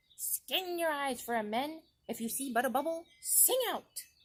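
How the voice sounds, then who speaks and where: At a moderate pace, a put-on character voice speaks with a high pitch. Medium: read story. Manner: fierce, commanding.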